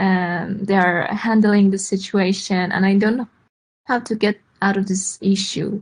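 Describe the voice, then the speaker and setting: Over a quiet background, a woman with a medium pitch speaks somewhat breathily at a fairly slow pace in a flat, monotone way. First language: not English. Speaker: English learner. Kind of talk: question in online class. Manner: halting.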